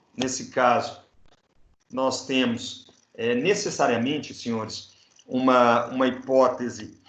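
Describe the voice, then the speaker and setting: Very slow and marked by long, frequent pauses, a man speaks at medium pitch with ordinary pitch variation. Room echo is audible. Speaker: law professor. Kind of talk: lecture.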